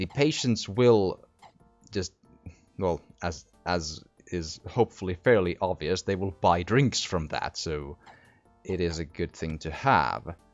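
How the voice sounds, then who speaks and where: A man's very deep, low voice with ordinary pitch variation, a fairly slow pace, long and frequent pauses, and music in the background. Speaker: gaming commentator. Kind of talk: casual let's play commentary.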